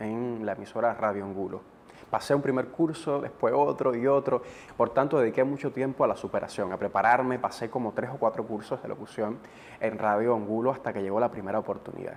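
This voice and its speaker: A man talks in a normal speaking voice at a moderate pace, medium in pitch with ordinary pitch variation. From eastern Cuba, Gibara. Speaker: TV presenter and radio announcer. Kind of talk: interview. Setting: studio.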